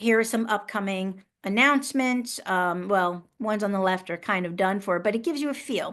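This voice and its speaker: A woman's ordinary speaking voice at a moderate pace, with ordinary pitch variation and a quiet background. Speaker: professional association president and educator. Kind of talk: webinar presentation.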